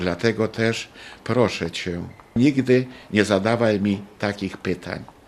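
A man's fairly even delivery at a very slow pace. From Poland. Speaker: wartime deportation survivor. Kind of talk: testimony.

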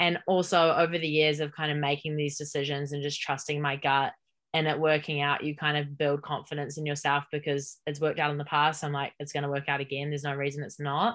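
Flat, monotone speech in a New Zealand accent rushes along at a very fast pace with hardly any pauses. The recording is very clean, with a silent background. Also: woman, very deep, low pitch for a woman. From New Zealand, Hamilton. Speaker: podcast guest, founder of a self-development initiative. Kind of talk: casual interview chat.

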